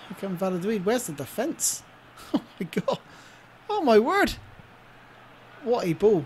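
A woman with a somewhat breathy, fairly high voice speaks at a fairly slow pace with long, frequent pauses. Her pitch swings very wide and her loudness swings a lot. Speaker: YouTube gamer. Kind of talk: gaming commentary, live play-by-play of a football video game. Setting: home recording, gameplay voiceover. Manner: excitable, animated, gushing over Messi's goal with breathless exclamations.

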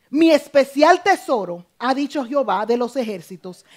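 The woman's speech moves fairly slowly over a quiet background. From Dominican Republic. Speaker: preacher. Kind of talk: sermon. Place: church.

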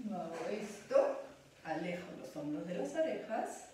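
A woman at a very slow pace, strong room echo, light background noise. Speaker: pilates instructor. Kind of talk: exercise class instruction. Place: home room. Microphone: camera far.

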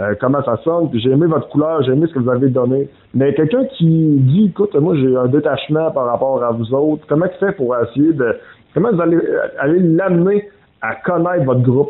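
A man with a Quebec accent speaks at a moderate pace and a fairly high pitch. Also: ordinary pitch variation. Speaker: interviewer. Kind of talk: interview.

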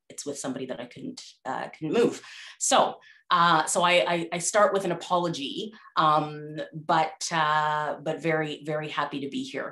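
A woman's very deep, low voice with a bright, sharp tone, ordinary pitch variation and a moderate pace, over a quiet background. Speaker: presenter. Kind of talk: conference talk. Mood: warm, apologetic, laughing. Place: home room. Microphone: earbuds.

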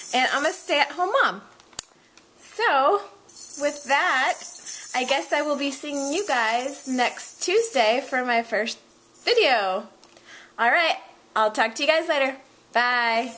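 A woman uses a raised, projected voice at a high pitch with very wide pitch swings. She speaks at a very slow pace with long, frequent pauses. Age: 20s. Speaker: stay-at-home mom. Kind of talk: casual talk to camera. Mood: cheerful, slightly shy. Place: home room. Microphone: webcam.

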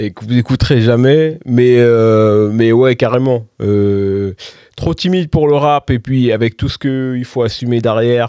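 In a dry recording with no echo and a quiet background, a man with a medium pitch and a dark, mellow tone speaks at a very slow pace, with ordinary pitch variation and big swings in loudness. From France, Val-d'Oise (Paris suburbs); France. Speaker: DJ and music producer; DJ. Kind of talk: casual interview chat. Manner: hesitant, many fillers. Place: studio. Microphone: studio mic.

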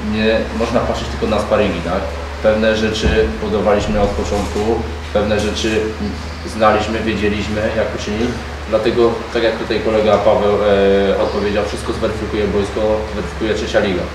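Amid noticeable background noise and audible room echo, a man with a fairly low pitch talks at a fairly quick pace with fairly even intonation. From Poland. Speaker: club official at football press conference. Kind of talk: press conference. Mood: calm, measured. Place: meeting room.

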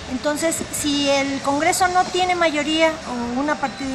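A woman with fairly even intonation over noticeable background noise. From Mexico. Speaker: political candidate; candidate. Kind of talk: interview. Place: cafe. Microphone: phone near.

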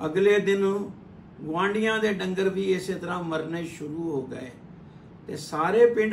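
Over light background noise and audible room echo, a man speaks at a high pitch with ordinary pitch variation. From Punjab, India. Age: 70s. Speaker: storyteller. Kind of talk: religious storytelling. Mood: calm, earnest storytelling. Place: home room. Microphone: phone near.

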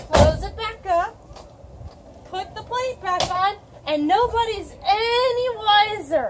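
There is crowd noise in the background. A woman is speaking. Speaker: presenter. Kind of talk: casual tutorial. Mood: playful, joking, mock-sneaky. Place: street. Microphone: camera far.

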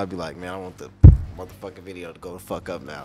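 A man with an American accent at a very fast pace, music in the background. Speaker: podcast co-host. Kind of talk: casual interview chat.

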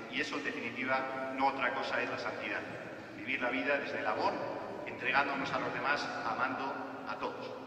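The man talks at a fairly quick pace with fairly even intonation. Light background noise and audible room echo are present. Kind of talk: sermon. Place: church.

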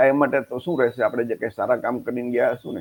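A man speaks at a medium pitch. His voice has vocal fry. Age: 60s. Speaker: social reformer, channel host. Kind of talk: personal monologue to camera.

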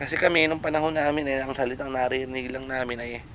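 A man at a fairly quick pace with fairly even intonation, audible room echo and noticeable background noise. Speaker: vlogger and home-based freelancer. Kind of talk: casual vlog narration. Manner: playful, joking.

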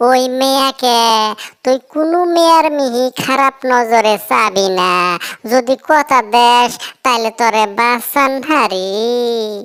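A cartoonish character voice moves at a very slow pace. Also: female-sounding voice, high pitch for a woman. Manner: loud, earthy, colorful insults.

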